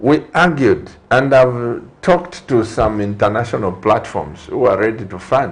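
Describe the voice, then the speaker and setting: Over noticeable background noise, a man talks at a fairly slow pace and a medium pitch, with lively intonation and hardly any pauses. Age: 60s. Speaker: TV talk show host and pastor. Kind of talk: TV studio interview. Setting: TV studio.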